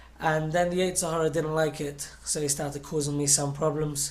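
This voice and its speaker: With an English accent, a man keeps to a moderate pace. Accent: English, noticeable to listeners. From London, England. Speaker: singer. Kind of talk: inspirational talk to children. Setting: video call, not in a studio.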